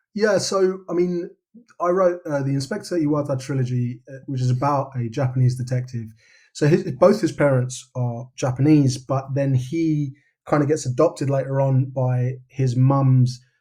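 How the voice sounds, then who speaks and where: A man with a London accent speaks in a dark, mellow tone at a fairly high pitch, his voice somewhat breathy. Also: ordinary pitch variation, moderate pace. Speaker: novelist. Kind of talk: podcast interview. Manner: casual, with many repetitions and fillers.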